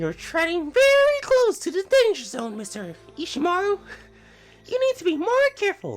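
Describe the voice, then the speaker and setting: A man's squeaky, put-on character voice at an extremely high pitch, moderate in pace with long, frequent pauses, faint music in the background. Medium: game stream. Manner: put-on, exaggerated and mocking.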